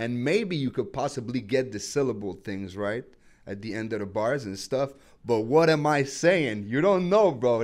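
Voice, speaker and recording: Speaking in a Quebec accent, a man with medium pitch and lively intonation keeps a moderate pace. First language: French. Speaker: rapper. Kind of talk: interview. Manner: halting.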